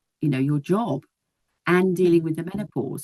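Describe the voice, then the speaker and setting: Fairly low in pitch, a woman with a British accent speaks with ordinary pitch variation. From UK. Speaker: nurse. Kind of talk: casual chat.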